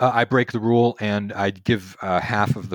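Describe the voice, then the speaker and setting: With an American accent, a man talks in a dry, close sound with no echo. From Texas, Houston. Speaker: game designer. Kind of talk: interview. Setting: remote call.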